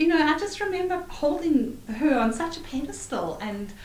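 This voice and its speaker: Over noticeable background noise, a woman speaks fairly slowly with very wide pitch swings. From Zimbabwe. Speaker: author. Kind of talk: interview answer. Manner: chatty, casual.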